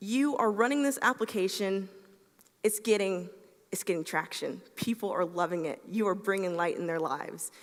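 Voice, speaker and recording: Ordinary pitch variation at a moderate pace over a quiet background. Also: woman. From US South, Atlanta, Georgia. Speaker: software engineer, conference speaker; conference speaker. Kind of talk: conference talk. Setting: stage with audience. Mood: friendly, light humour. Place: stage.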